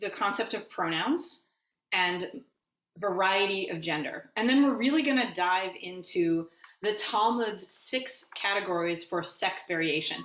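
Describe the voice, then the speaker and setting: With lively intonation and a fairly slow pace, this is an ordinary speaking voice. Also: woman. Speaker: rabbi. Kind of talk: lecture. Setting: video call.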